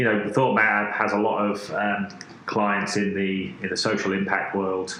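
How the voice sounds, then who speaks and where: A man with a British accent and a fairly low pitch, amid noticeable background noise and audible room echo. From UK. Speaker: design agency creative director. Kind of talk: podcast interview. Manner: halting, many fillers and repetitions.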